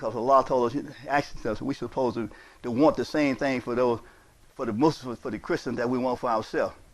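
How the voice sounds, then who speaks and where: At a fairly quick pace, a man with a medium pitch keeps his intonation fairly even. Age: 60s. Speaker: imam. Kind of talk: sermon. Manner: repetitive, emphatic.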